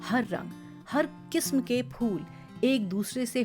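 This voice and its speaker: Music plays behind a woman's voice. Her intonation is lively. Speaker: voice actor. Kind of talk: audio story narration.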